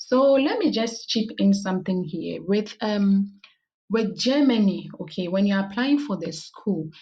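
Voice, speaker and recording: A woman speaks at a fairly slow pace with a medium pitch. Her voice is somewhat breathy, with ordinary pitch variation. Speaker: YouTuber giving study-abroad advice. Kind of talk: tutorial. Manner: halting.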